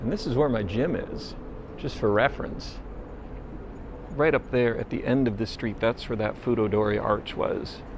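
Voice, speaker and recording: Speaking at a moderate pace with an American accent, the voice has long, frequent pauses over noticeable background noise. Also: man. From United States. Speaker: travel vlogger. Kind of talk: walking vlog narration. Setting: outdoors on city streets. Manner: low, quiet voice. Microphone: pocket camera built-in microphone.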